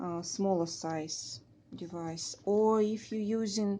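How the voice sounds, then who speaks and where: A woman speaks at medium pitch with a dark, mellow tone. The background is quiet. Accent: Russian. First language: Russian. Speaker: beading craft tutor. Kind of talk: tutorial. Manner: halting, many fillers.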